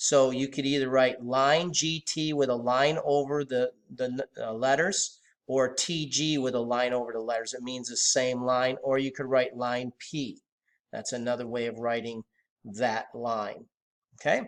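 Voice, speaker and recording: Speaking at a fairly slow pace, a man uses an ordinary speaking voice at medium pitch with fairly even intonation. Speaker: math teacher. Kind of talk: lecture.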